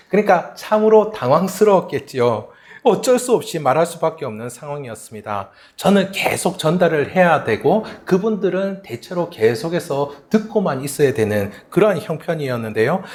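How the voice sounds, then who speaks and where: In a Gyeongsang accent, a man with a high pitch speaks with very wide pitch swings. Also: moderate pace. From South Korea, Gyeongsang region. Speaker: pastor. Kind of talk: sermon.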